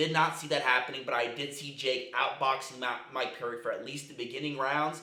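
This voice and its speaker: Over noticeable background noise and audible room echo, a man speaks at a fairly quick pace with hardly any pauses, his fairly high voice held in a flat monotone. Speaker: MMA commentary youtuber. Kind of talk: casual commentary. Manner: casual, filler-heavy.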